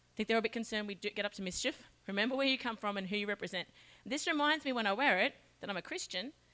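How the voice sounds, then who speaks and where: A woman talks at a very fast pace with an Australian accent and lively intonation. Her voice is fairly high in pitch, with a bright, sharp tone. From Australia, Charters Towers (Queensland). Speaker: children's ministry leader. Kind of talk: children's talk.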